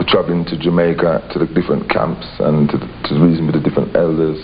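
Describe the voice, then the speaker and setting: A man's very deep, low voice holds a monotone, flat intonation over noticeable background noise. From England. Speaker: Rastafarian interviewee. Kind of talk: interview. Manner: halting.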